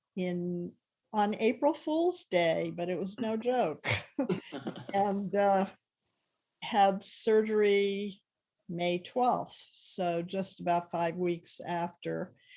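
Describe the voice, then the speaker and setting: Her voice is medium in pitch and dark and mellow in tone, with ordinary pitch variation. The woman talks at a very slow pace with long, frequent pauses. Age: 70s. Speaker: breast cancer patient. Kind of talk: testimony.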